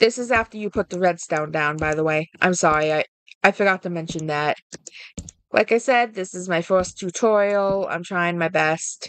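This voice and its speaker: Her medium pitch and ordinary pitch variation come through in a dry, close sound with no echo as the woman speaks. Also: moderate pace. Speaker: gaming video creator. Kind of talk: tutorial. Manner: halting, self-correcting.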